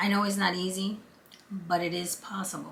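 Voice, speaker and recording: In an audible room echo, a woman with a Brooklyn accent speaks at a moderate pace. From Brooklyn, New York. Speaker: vlogger. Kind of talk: casual chat. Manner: conversational.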